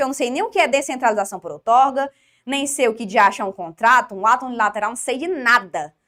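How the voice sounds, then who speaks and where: A woman talks very fast in a high, bright and sharp voice. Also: hardly any pauses. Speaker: law teacher for exam prep. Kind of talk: online lecture. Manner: informal, conversational.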